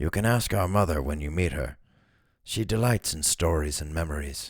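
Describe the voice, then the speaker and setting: Recorded very cleanly with a silent background, a man uses a raspy, very deep put-on character voice. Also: moderate pace. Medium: read story. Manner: warm, composed.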